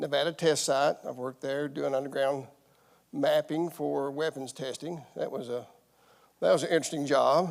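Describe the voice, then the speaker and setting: A man talks at a moderate pace with a Southern US accent. His pitch sits fairly high. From eastern Kentucky. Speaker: environmental site manager. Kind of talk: public meeting self-introduction. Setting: public meeting room, also streamed online.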